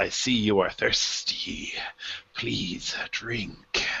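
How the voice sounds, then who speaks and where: A man growls in a put-on character voice. His pace is very slow. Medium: actual play. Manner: commanding, menacing.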